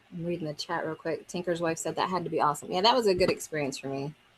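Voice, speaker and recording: Noticeable background noise surrounds a woman with an American accent, whose fairly low pitch varies in an ordinary way. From Maryland, US Mid-Atlantic. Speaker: homesteader and musician livestreamer. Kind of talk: casual live-stream chat. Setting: Zoom call streamed live on YouTube.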